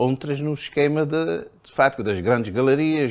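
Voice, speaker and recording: A man talks fairly slowly, his intonation lively throughout. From Cape Verde. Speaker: painter and writer. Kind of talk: interview answer. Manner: hesitant, repetitive.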